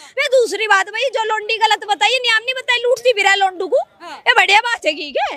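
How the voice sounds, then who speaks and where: A woman's raised, projected voice, extremely high in pitch and bright and sharp in tone, with a Haryana accent, a moderate pace and ordinary pitch variation. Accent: Haryanvi. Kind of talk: street interview answer. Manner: blunt, forceful.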